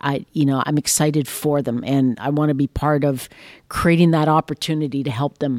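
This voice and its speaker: A woman with a Western Canadian accent speaks at a fairly quick pace in a very deep, low pitch and a monotone, flat intonation. The very clean recording has a silent background and a dry, close sound with no echo. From Saskatchewan, Canada. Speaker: railway company executive. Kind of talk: interview. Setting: company headquarters.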